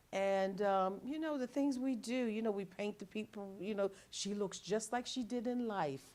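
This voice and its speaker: This speaker is a woman. Her voice falls at a medium pitch. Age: 60s. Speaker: retired social worker. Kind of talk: casual interview chat. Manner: halting, many fillers and restarts.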